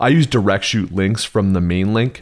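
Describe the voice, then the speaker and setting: A man with a fairly low pitch, ordinary pitch variation and an ordinary speaking voice, at a fairly quick pace. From Canada. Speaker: Amazon advertising seller/consultant. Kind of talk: podcast interview. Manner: casual, with frequent fillers.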